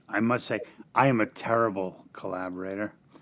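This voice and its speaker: A man talks at a moderate pace with a New York accent. The recording is very clean with a silent background. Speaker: indie singer-songwriter. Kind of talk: casual panel chat.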